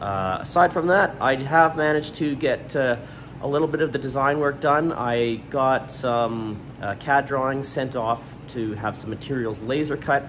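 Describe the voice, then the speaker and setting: A man at a moderate pace with ordinary pitch variation and light background noise. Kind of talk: casual vlog chat. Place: workshop. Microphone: phone near.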